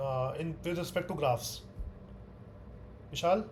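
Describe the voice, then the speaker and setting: A man at a moderate pace, with audible room echo. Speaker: teaching assistant. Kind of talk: online tutorial session. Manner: loud.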